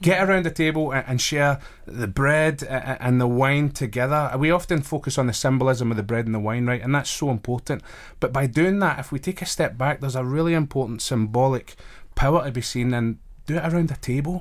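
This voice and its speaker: Recorded very cleanly against a silent background, a man with a Glaswegian accent talks fairly quickly in a fairly high voice with ordinary pitch variation. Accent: Glaswegian Scottish. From Glasgow, Scotland. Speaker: chaplain and college staff member. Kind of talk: casual interview. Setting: radio studio.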